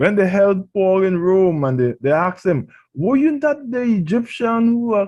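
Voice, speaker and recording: In a Trinidadian accent, a man with a high pitch speaks at a fairly slow pace. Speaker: pastor. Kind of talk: radio sermon.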